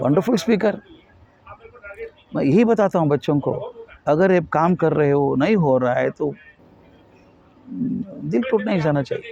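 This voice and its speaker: A man with a high-pitched voice speaks with long, frequent pauses over noticeable background noise. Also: lively intonation. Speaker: educationist and motivational speaker. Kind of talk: interview. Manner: somewhat halting non-native Hindi mixed with English.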